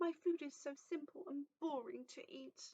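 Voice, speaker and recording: A woman speaks at a very slow pace in a raised, projected voice. Her tone is bright and sharp, and her pitch is high. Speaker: library storyteller. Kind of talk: children's story reading.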